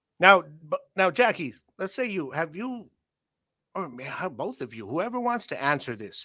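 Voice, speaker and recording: A man's raised, projected voice, high-pitched, bright and sharp, with very wide pitch swings, in a very clean recording with a silent background. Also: moderate pace, big swings in loudness. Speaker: podcast host. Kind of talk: casual chat. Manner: loud.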